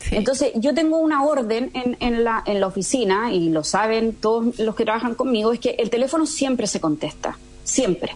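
Over noticeable background noise, a woman with a fairly high pitch talks with very even loudness and hardly any pauses. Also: lively intonation, moderate pace. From Chile, moved to Spain at 18. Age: 40s. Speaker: entrepreneur, founder of eco-construction company. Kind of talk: radio interview.

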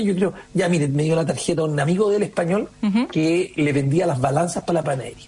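The man here talks at a fairly quick pace. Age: 50s. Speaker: entrepreneur. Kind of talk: radio interview.

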